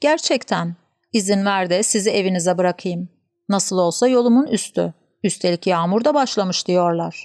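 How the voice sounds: A quiet background beneath a natural reading voice with ordinary pitch variation.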